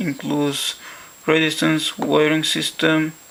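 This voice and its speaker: Over noticeable background noise, the speaker talks at a fairly slow pace with a non-native accent. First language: not English; English is a third language. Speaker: science educator. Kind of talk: educational science demonstration.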